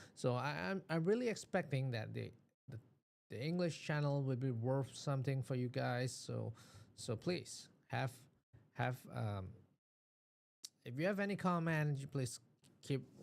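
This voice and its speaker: A man with a medium-pitched voice speaks at a fairly slow pace with lively intonation and long, frequent pauses. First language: not English (English is second language). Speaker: business channel host. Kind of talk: casual vlog commentary. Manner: halting, many repetitions and fillers.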